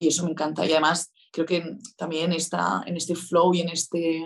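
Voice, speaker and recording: A woman's fairly low-pitched voice. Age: young. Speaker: artist and entrepreneur. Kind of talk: casual chat.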